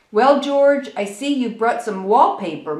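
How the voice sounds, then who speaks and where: A woman does a put-on character voice at a moderate pace, fairly high in pitch. Her pitch swings very widely, and there is a slight echo. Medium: read story.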